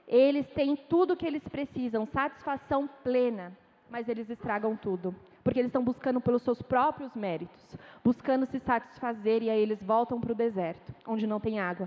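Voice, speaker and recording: Using an ordinary speaking voice, a woman speaks at a moderate pace with a fairly high pitch and ordinary pitch variation. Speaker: missionary preacher. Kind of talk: sermon. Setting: church.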